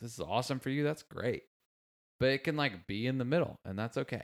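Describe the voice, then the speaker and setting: Here a man speaks. His pace is fairly quick. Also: very clean recording, silent background. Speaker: podcast host. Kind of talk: casual chat.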